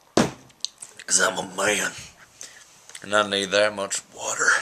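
A man's put-on character voice, raspy and fairly low in pitch, at a fairly slow pace over noticeable background noise. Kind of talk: casual vlog chat. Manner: mock-macho.

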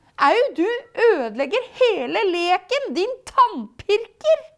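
The speaker puts on a character voice. Pitch swings are very wide. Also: woman, extremely high pitch for a woman. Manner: cried out, annoyed.

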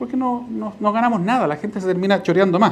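The speaker talks at a fairly quick pace with lively intonation in a Chilean accent. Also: man. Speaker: party official. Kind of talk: lecture. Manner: conversational, frequent fillers. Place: hall. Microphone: lapel.

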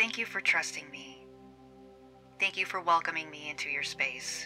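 The words come at a moderate pace. Behind them, music plays. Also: woman. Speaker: meditation guide. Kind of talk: guided meditation.

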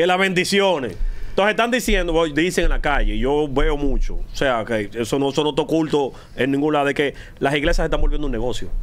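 A fairly quick pace and lively intonation from a man. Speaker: radio host. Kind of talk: heated debate. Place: studio. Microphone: studio mic.

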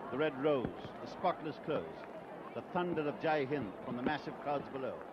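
Loud background noise surrounds a dry, echo-free voice moving at a moderate pace with ordinary pitch variation. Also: man, fairly high pitch for a man. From India. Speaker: radio commentator. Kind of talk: live ceremonial event commentary. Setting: outdoors, live broadcast in rain. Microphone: old recording.

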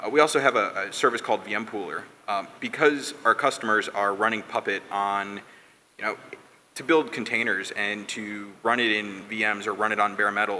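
A man's fairly low voice at a moderate pace, a plain, everyday voice, with light background noise. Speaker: conference speaker. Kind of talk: technical talk. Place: stage. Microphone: podium.

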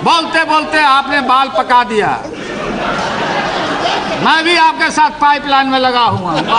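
Amid loud background noise, a man speaks at a very slow pace with long, frequent pauses. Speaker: politician. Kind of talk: parliamentary speech. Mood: jovial, mocking humor. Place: hall.

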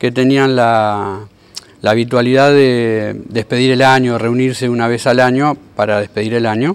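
A man talks at a fairly slow pace. His intonation is fairly even. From Argentina, Tigre (Buenos Aires province). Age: 50s. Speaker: boat carpenter. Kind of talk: interview. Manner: hesitant, many fillers. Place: workshop.

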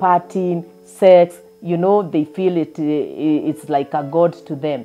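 Faint music sits in the background. Over it, a woman talks at a fairly slow pace. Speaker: preacher. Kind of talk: sermon. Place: home room. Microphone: lapel.

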